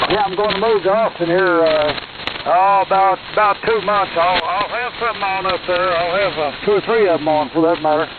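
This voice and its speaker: Fairly quick speech in a Texas accent, with fairly even intonation and noticeable background noise. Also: man, high pitch for a man. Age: 80s+. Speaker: ham radio operator, Air Force veteran. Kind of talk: amateur radio net. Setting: radio transmission. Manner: halting.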